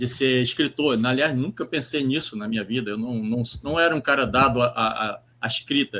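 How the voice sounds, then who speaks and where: Speaking at a moderate pace, a man has a medium pitch, a bright, sharp tone and ordinary pitch variation. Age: 60s. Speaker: writer and poet. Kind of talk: interview. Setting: live stream. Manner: halting, many repetitions.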